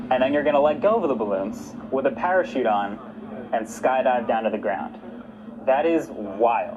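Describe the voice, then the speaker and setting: With an American accent, a man at medium pitch speaks at a moderate pace with very wide pitch swings, audible room echo and noticeable background noise. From New York. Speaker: livestream host. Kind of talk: live broadcast presenting.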